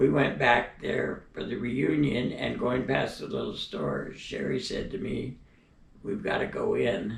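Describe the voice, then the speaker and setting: A man talks at a fairly slow pace with an American accent. Room echo is audible. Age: 90s. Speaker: elderly storyteller. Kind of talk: personal reminiscence. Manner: hesitant, frequent fillers.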